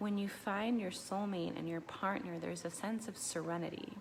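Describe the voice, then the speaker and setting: There is noticeable background noise behind this woman. Her intonation stays fairly even. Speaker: relationship therapist. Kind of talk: casual talk to camera. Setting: at home at night, children sleeping. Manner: hesitant, many fillers.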